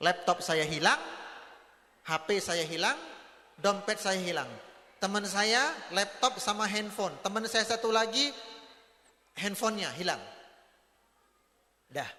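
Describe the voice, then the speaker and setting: A man's high, raised and projected voice, fairly slow, broken by long and frequent pauses. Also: ordinary pitch variation. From North Sumatra, Batak. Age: 40s. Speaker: Islamic preacher. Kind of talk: parenting lecture to parents and teachers. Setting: convention hall with audience. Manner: animated storytelling with acted dialogue.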